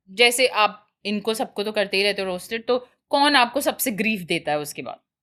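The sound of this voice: A woman's fairly bright tone at a moderate pace, with ordinary pitch variation. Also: medium pitch for a woman.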